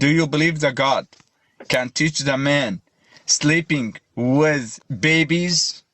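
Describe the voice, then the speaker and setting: At a very slow pace with long, frequent pauses, a man with an Arabic accent speaks at a fairly high pitch, keeping very even loudness and ordinary pitch variation. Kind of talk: heated debate.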